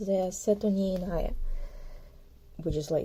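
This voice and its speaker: Speaking at a medium pitch, a woman has a dark, mellow tone. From southern Ukraine. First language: Ukrainian. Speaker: artist. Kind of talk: casual sketchbook tour talk. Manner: casual, halting with self-corrections.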